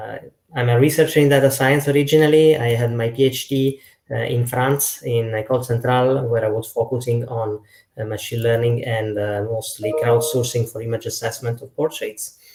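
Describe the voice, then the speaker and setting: In an Italian accent, a man talks at a medium pitch with fairly even intonation and a somewhat breathy sound. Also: moderate pace. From Italy. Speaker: data science lead. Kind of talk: panel discussion.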